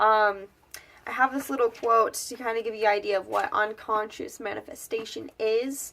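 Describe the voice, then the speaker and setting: Her pitch is fairly high and her tone bright and sharp. The woman talks at a moderate pace with an American accent. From Wyoming, US. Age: 20s. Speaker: lifestyle vlogger. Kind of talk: casual vlog talk. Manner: hesitant, many fillers.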